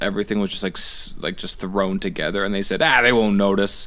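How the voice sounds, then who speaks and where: A man with a southern Ontario accent speaks at a fairly low pitch with fairly even intonation. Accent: regional Niagara accent (Canadian). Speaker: podcast co-host. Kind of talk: casual chat.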